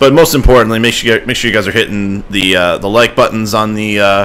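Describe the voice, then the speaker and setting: Fairly even in intonation, the speaker moves at a fairly quick pace over noticeable background noise. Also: man. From Ohio, US Midwest. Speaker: gaming streamer. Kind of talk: live game stream chat. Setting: live stream at home computer. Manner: loud.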